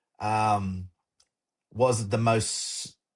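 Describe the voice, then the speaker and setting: Against a quiet background, a man talks in an energetic tone that is somewhat breathy. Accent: Australian. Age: 60s. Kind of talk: casual interview.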